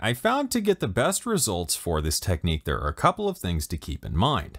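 The recording is very clean, with a silent background. A man speaks at a moderate pace, his pitch swinging very widely.

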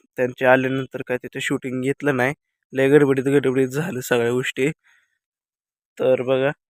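The sound is dry and close, with no echo. A man speaks in a monotone, flat intonation. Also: medium pitch for a man. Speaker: vlogger. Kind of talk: casual vlog talk to camera. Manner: halting, repetitive.

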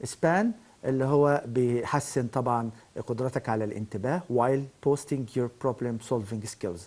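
A man at a moderate pace, in an Egyptian accent. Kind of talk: lecture. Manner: halting.

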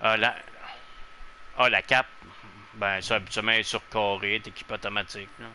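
A man with a fairly low pitch and a bright, sharp tone speaks at a fairly quick pace in monotone, flat intonation, with long, frequent pauses. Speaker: gaming streamer. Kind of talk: casual gameplay chat.

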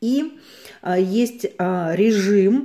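With lively intonation, a woman speaks in a dark, mellow tone. The background is quiet. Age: 50s. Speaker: cosmetics consultant. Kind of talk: product review to camera. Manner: casual, chatty. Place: home room. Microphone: phone near.

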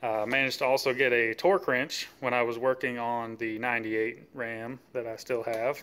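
Speaking at a moderate pace, the man keeps his intonation fairly even. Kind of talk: casual show-and-tell vlog. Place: garage. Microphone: phone near.

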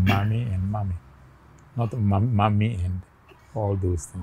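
The voice is somewhat breathy, with a dark, mellow tone and fairly even intonation at a fairly slow pace. There is light background noise. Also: man. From Ghana. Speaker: interview guest. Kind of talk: family interview. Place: garden. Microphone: lapel.

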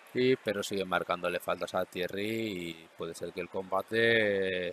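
In a plain, everyday voice, a man talks at a fairly low pitch and fairly slow pace, his intonation fairly even and the sound dry and close with no echo. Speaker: combat sports commentator. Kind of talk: live sports commentary of a karate bout. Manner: matter-of-fact, explanatory, steady.

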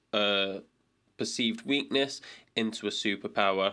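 Speech comes at a moderate speed. Its tone is bright and sharp. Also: man. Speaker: podcast host. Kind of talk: podcast intro. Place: home room. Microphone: studio mic.

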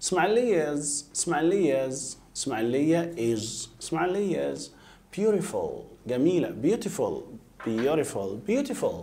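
The voice has a dark, mellow tone and vocal fry, moving at a very slow pace with very wide pitch swings. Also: man, fairly high pitch for a man. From Egypt. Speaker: English teacher. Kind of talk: lecture. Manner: repetitive, drilling pronunciation. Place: studio.

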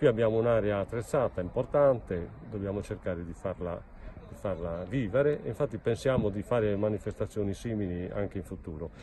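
Fairly low in pitch with ordinary pitch variation, a man speaks at a fairly quick pace with big swings in loudness, the sound dry with no echo and light background noise. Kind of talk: casual selfie vlog report. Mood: pleased, calm. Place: waterside. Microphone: phone near.

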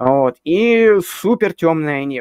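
The speaker is a man. The sound is dry with no echo, and the background is quiet. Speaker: amateur astronomer and astrophotographer. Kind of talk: casual live Q&A answering viewer questions. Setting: live stream, online video call. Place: home room.

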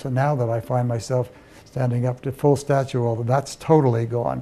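A man of medium pitch speaks at a moderate pace in monotone, flat intonation, his tone dark and mellow and somewhat breathy. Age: 70s. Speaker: patient. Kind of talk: testimony. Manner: halting. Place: office. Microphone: lapel.

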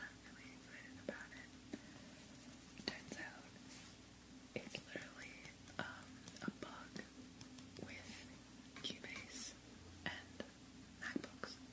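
Long pauses come often as a woman talks at a very slow pace. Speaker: ASMR creator. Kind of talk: ASMR whisper ramble; casual talk to camera. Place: home room.

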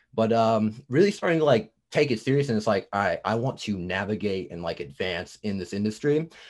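With lively intonation, a man moves at a fairly quick pace against a quiet background. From New Jersey. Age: 20s. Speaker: music producer and audio production student. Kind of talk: casual interview chat. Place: home room. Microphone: video call.

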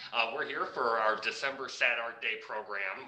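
In an unremarkable speaking voice, a man at a medium pitch talks at a fairly slow pace with fairly even intonation. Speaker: art center executive director. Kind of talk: event host introduction.

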